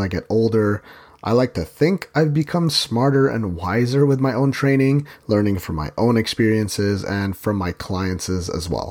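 Over a very clean recording with a silent background, a man speaks with an unremarkable speaking voice at medium pitch. His pace is moderate and his intonation lively. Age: 30s. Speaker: fitness podcast host and trainer. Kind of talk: casual solo podcast monologue.

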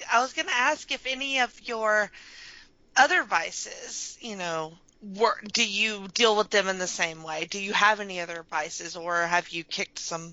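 Her intonation is lively. A woman speaks with a Southern US accent. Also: medium pitch for a woman, moderate pace. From Alabama. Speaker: podcast host. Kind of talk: casual chat; scripted introduction.

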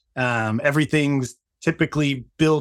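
Pitched fairly high for a man, this man has a normal speaking voice and ordinary pitch variation. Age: 50s. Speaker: marketing executive and company founder. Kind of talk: interview.

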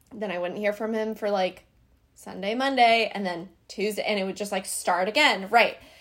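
This is an ordinary speaking voice. The intonation stays fairly even and the pace is moderate. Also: woman, medium pitch for a woman. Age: 20s. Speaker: beauty influencer. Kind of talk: casual chat.

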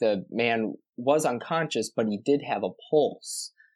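A medium-pitched male voice with ordinary pitch variation against a quiet background. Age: 20s. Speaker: nursing assistant. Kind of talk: casual chat.

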